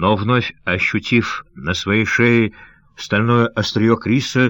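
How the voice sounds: The reading here is done in a natural reading voice.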